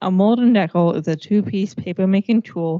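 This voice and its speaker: The pace stays moderate and the intonation fairly even. It is an unremarkable speaking voice. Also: woman. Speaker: student presenter. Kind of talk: class presentation.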